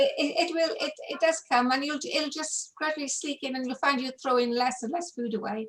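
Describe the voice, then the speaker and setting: With hardly any pauses, a woman speaks at a fairly quick pace in a high voice. Her pitch varies in an ordinary way, and background noise is noticeable. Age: 70s. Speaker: low-carb support group organiser. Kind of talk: casual chat. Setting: video call.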